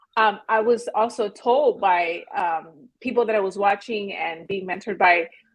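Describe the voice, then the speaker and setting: A woman talks at a moderate pace with hardly any pauses. Her medium pitch shows ordinary pitch variation in a normal speaking voice. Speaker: real estate agent and YouTuber. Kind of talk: podcast interview.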